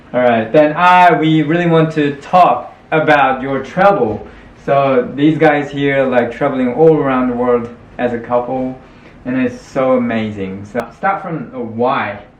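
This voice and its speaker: A man at medium pitch, fairly slow pace, and ordinary pitch variation, with noticeable background noise and audible room echo. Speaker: interviewer. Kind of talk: casual interview chat. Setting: on camera.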